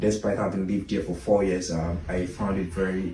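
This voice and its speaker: In a Nigerian accent, a somewhat breathy voice with a dark, mellow tone moves at a fairly quick pace amid audible room echo. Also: man. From Nigeria, Lagos. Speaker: immigrant interviewee. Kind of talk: interview conversation. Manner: halting, many fillers and repetitions.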